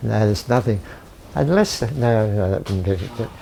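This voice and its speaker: Noticeable background noise beneath speech at a fairly slow pace. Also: man. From Australia, northern New South Wales. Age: 90s. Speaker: elderly local resident sharing memories. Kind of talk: casual reminiscing walk-through. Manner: halting.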